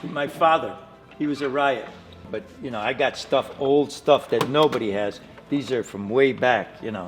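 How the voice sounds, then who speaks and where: Music plays in the background. A man with a medium pitch talks at a moderate pace. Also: ordinary pitch variation. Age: 60s. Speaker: car dealer and restorer. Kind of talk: casual chat.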